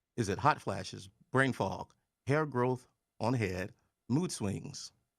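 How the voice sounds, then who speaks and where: This is a man speaking. He has a Texas accent. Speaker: community show host. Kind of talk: online panel show with trivia quiz. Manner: casual, folksy; stumbling over words.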